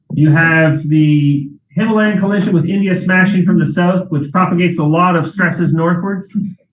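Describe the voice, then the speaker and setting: There is audible room echo as a man speaks at a high pitch with fairly even intonation. His loudness stays very even. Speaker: professor. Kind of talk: lecture; Q&A answer. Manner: fast.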